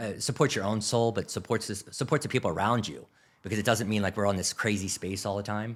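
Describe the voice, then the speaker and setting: A man talks in an animated tone with a Philadelphia accent. The recording is very clean, with a silent background. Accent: Philadelphia accent, clipped enunciation. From US Northeast, Philadelphia. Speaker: grocery category manager. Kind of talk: podcast interview. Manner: fast.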